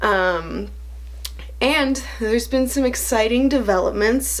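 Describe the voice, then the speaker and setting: Room echo is clearly audible. A woman speaks rather slowly. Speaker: vlogger. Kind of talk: casual chat. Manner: quieter than usual; usually energetic and loud.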